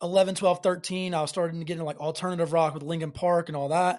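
A man with a Southern US accent speaks fairly quickly at a high pitch, keeping his intonation fairly even. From Alabama, US South. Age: 20s. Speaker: singer-songwriter. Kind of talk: casual chat.

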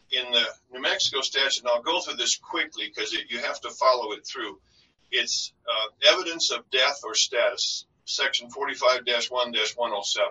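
Big swings in loudness run through a man's fairly slow speech in an American accent. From US, North Dakota. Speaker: estate lawyer. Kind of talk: podcast interview.

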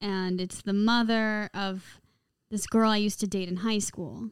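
This woman has a plain, everyday voice with an American accent, medium pitch, fairly even intonation and a moderate pace, on a very clean recording with a silent background. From Caribbean and Los Angeles. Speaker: pop musician. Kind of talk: casual chat.

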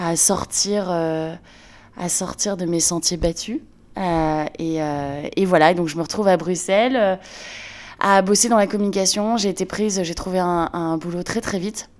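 A woman's fairly low voice at a fairly slow pace, with ordinary pitch variation and long, frequent pauses. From northern France, Lille. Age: 30s. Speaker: entrepreneur, brand founder. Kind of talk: interview testimony. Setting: in a friend's home.

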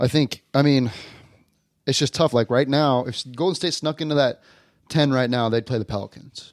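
A plain, everyday voice from a man with an American accent, medium pitch, ordinary pitch variation and a moderate pace, the sound dry and close with no echo. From Colorado, Denver area. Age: 20s. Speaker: college basketball player and podcast host. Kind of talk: casual chat.

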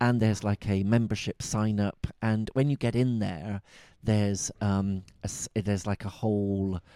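A man's dark, mellow voice with a Bristol accent, fairly low in pitch and very even in loudness, dry and close with no echo on a very clean recording with a silent background. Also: fairly even intonation, fairly slow pace. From Bristol, England. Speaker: tantra teacher and podcast host. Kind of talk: casual chat.

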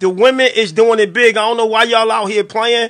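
Over a quiet background, a man speaks at a moderate pace in a high, bright, sharp voice, raised and projected, with fairly even intonation. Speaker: radio show host. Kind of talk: casual chat. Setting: studio.

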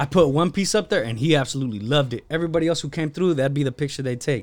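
This man speaks very fast, his fairly high pitch showing ordinary variation. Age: 20s. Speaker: podcast guest, clothing and toy brand owner. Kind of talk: casual chat. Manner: animated.

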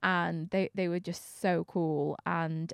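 A woman with a Manchester accent and fairly low pitch, dry and close with no echo, over a quiet background. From Manchester, England. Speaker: DJ and presenter. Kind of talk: casual interview chat. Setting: studio.

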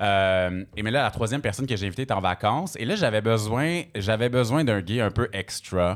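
This man has a plain, everyday voice, fairly low in pitch, with ordinary pitch variation. He keeps a moderate pace with hardly any pauses, and the recording is very clean with a silent background. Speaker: radio host and DJ. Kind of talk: casual chat. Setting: stage with audience.

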